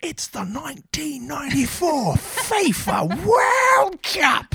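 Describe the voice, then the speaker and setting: A very slow, put-on character voice. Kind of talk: formal broadcast style. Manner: booming, dramatic announcer delivery.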